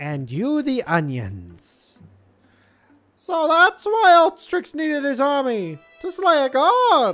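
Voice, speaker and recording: The speaker uses a put-on character voice pitched high. It moves at a very slow pace over faint background music. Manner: earnest, explaining.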